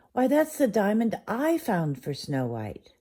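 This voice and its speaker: A put-on character voice at fairly high pitch moves at a fairly slow pace with very wide pitch swings, on a very clean recording with a silent background. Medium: read story.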